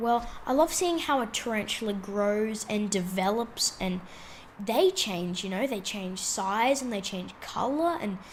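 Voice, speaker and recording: This woman has an Australian accent and a fairly high pitch. She talks at a fairly slow pace with lively intonation and an animated tone. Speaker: tarantula keeper and video blogger. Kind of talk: casual vlog. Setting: indoors while traveling abroad. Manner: casual, animated.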